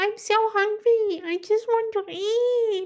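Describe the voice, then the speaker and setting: A woman's put-on character voice, squeaky and shrill, extremely high, at a fairly slow pace. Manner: cute.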